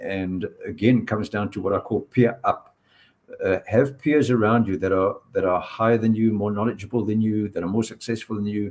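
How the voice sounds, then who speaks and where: At a fairly quick pace, a man with a fairly low pitch and an unremarkable speaking voice talks with fairly even intonation. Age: 60s. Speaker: purpose coach and workshop presenter. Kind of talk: panel discussion on live stream.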